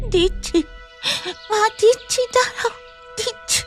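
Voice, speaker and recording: A woman's cartoonish character voice at an extremely high pitch, with clear music in the background. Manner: meek, pleading.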